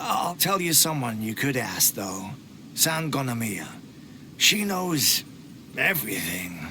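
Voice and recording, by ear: A man's put-on character voice at medium pitch, slow and bright, sharp in tone, with big pitch swings and faint background noise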